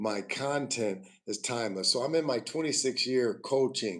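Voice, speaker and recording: A man at a fairly slow pace, medium in pitch. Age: 60s. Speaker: acting coach and speaker. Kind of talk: casual livestream talk. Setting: YouTube livestream. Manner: halting, many fillers.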